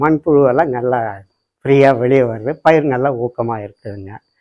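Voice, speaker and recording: A man's fairly high voice, dark and mellow in tone, in a dry, close sound with no echo. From Vellore district, Tamil Nadu. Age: 70s. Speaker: farmer, retired college professor. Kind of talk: interview answer.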